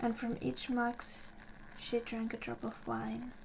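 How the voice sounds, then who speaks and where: Soft-spoken and calm, a woman with a fairly high pitch talks very slowly over noticeable background noise. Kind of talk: ASMR bedtime story reading. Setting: fire crackling in the background. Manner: soft-spoken, calm.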